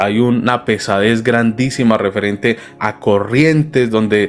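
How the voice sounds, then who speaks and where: In a paisa accent, a man speaks fairly slowly at medium pitch with fairly even intonation. Background noise is noticeable. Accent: paisa Colombian Spanish. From Colombia, Medellín (paisa). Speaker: pastor. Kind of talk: sermon.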